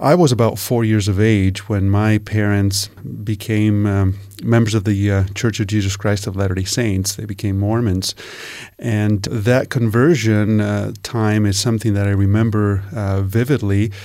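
A man's dark, mellow tone at a fairly low pitch, with fairly even intonation, on a very clean recording with a silent background. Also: moderate pace. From northeastern Italy. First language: Italian. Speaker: world religions teacher. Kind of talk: panel discussion. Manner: hesitant, many fillers.

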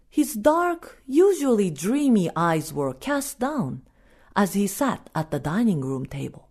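A woman with a Japanese accent at medium pitch, somewhat breathy, with very wide pitch swings and a very slow pace. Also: quiet background. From Japan (Osaka). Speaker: storyteller. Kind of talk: storytelling.

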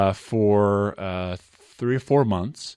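Here a man has an unremarkable speaking voice with a fairly low pitch. His intonation stays fairly even. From Utah. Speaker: former basketball player. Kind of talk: interview. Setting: studio.

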